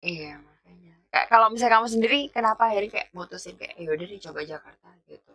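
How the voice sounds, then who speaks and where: A woman with a strong Javanese accent, fairly high pitch and a bright, sharp tone, very fast with hardly any pauses, lively intonation and big swings in loudness. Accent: thick Javanese (medok). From East Java, Pasuruan. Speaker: podcast guest. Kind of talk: casual chat.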